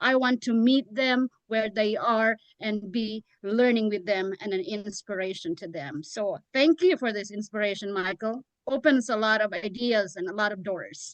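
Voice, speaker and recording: A woman speaks with a non-native accent at a moderate pace. Her pitch is fairly high. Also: ordinary pitch variation. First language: not English. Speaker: public speaking club leader. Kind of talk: panel discussion.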